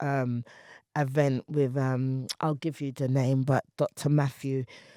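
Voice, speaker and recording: A British accent in a dark, mellow tone with monotone, flat intonation at a moderate pace, dry and close with no echo on a very clean recording with a silent background. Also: woman. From England. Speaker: poet and artist. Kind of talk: interview conversation.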